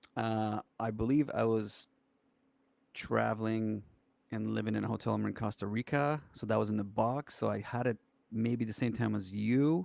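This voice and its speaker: Here is a man with a plain, everyday voice at a medium pitch. He talks at a moderate pace with fairly even intonation. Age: 40s. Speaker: musician. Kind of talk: casual chat.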